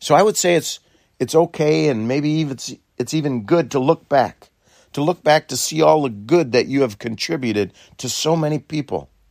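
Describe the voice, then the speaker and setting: In an ordinary speaking voice, a man talks at a moderate pace with fairly high pitch and ordinary pitch variation, the sound dry and close with no echo. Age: 60s. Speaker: dairy farmer. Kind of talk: reflective talk.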